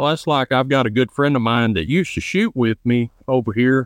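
A man's medium-pitched voice in a Southern US accent, with ordinary pitch variation. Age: 20s. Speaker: trapshooter and chiropractic student. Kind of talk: casual interview.

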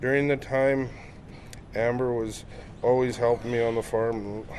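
A man at a fairly slow pace, medium pitch and monotone, flat intonation, amid noticeable background noise. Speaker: father reading victim impact statement. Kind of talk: read-out victim impact statement, emotional.

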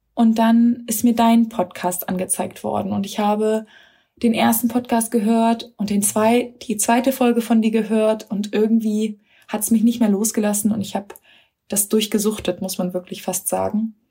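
A somewhat breathy woman's voice, fairly high in pitch, at a moderate pace with monotone, flat intonation. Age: 30s. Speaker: mother of three, course graduate. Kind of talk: recorded voice memo testimony. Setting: self-recorded voice message.

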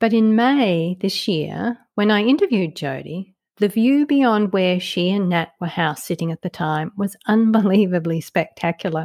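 A woman's medium-pitched voice with lively intonation at a moderate pace, dry and close with no echo, on a very clean recording with a silent background. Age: 50s. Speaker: podcast host and author. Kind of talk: solo podcast reflection. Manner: clear, scripted narration.

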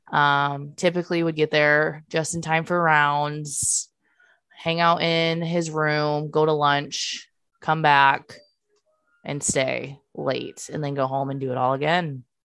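A woman with a very deep, low pitch speaks very slowly in a flat monotone while music plays in the background. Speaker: podcast co-host, NICU parent. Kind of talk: casual chat podcast.

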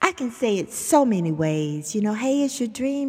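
A woman's fairly high voice in a Southern US accent, with very wide pitch swings. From US South. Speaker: motivational podcast host. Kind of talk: motivational talk. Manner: animated.

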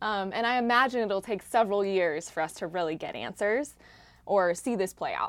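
With an American accent, a woman uses a plain, everyday voice at a medium pitch, speaking at a moderate pace with lively intonation. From United States. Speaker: podcast host and investigative journalist. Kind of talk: conversational interview.

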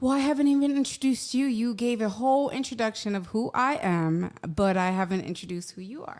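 In a New York accent, a woman speaks at a fairly quick pace with hardly any pauses, a fairly high pitch and lively intonation. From New York City, Manhattan. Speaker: podcast co-host. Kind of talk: casual chat.

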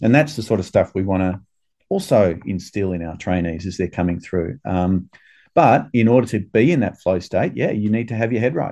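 Against a quiet background, a man speaks in an Australian accent at a moderate pace. His pitch is fairly low, with ordinary pitch variation. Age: 50s. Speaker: urologist and surgeon. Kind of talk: podcast interview. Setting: remote call from abroad. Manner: halting, many filler words.

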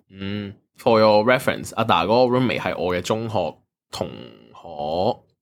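A man with a fairly low pitch and ordinary pitch variation talks at a moderate pace in an ordinary speaking voice. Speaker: podcast co-host. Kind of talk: casual chat.

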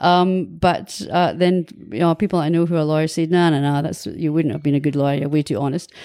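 A woman with a very deep, low pitch and a dark, mellow tone talks at a fairly quick pace with hardly any pauses and ordinary pitch variation, in a very clean recording with a silent background. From Scotland, Angus (Kirriemuir). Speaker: visual artist and former tertiary teacher. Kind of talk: interview conversation. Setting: in person at host's location, facing a garden.

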